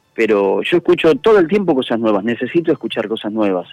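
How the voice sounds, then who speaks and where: A man's medium-pitched voice at a very fast pace, with a dry, close sound and no echo. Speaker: musician and event organizer. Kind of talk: interview.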